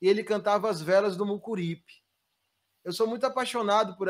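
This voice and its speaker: A man talks at a fairly quick pace with a Bahian accent. His pitch sits high for a man, and his intonation is fairly even. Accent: Bahian Brazilian Portuguese. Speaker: musician. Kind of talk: interview.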